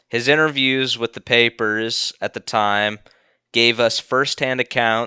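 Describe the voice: Over a quiet background, someone reads aloud plainly, keeping the intonation fairly even.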